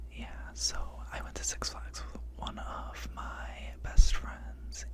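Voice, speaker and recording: A man is whispering over noticeable background noise. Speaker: ASMR storyteller. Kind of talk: ASMR story time. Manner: whispered.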